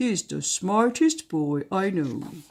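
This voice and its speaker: A woman uses a put-on character voice. Her pitch sits at a medium level. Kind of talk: bedtime story. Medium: read story. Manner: gruff, blunt.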